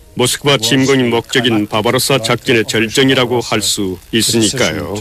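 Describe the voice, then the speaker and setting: The speaker moves at a fairly slow pace. Background noise is noticeable throughout. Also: man. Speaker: voice actor dubbing a historian interviewee. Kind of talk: interview answer. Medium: dub.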